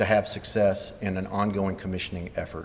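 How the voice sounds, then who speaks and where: At a moderate pace, a man talks amid audible room echo. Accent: Southern US. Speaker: building commissioning engineer, conference presenter. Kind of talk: conference presentation.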